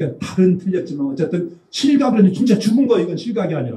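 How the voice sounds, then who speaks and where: Fairly quick and full of lively intonation, a man's speech moves along. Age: old. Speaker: physiognomy lecturer. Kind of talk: lecture. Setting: seminar with audience. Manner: casual storytelling.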